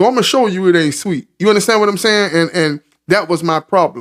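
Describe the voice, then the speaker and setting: A man speaks in a high voice at a fairly quick pace. The recording is very clean, with a silent background. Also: dry, close sound with no echo. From US South, Florida (Marion County). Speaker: podcast host. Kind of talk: casual interview chat.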